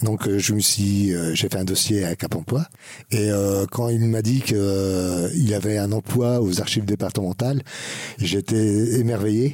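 Very slow delivery in a dark, mellow tone keeps its loudness very even. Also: man, fairly low pitch for a man, ordinary pitch variation. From France, Normandy (Alençon). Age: 50s. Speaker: bookbinder. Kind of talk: podcast interview. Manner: hesitant, many fillers.

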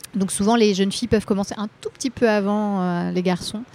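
At a moderate pace, a woman talks in a medium pitch with an unremarkable speaking voice. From Brittany, Rennes area. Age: 30s. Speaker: singer and slam poet. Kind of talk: interview. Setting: Parisian café.

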